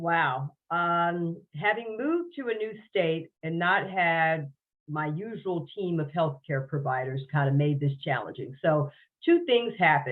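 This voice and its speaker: A woman with an ordinary speaking voice talks fairly slowly at a fairly low pitch, with lively intonation. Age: 60s. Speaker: podcast guest sharing health story. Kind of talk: interview testimony.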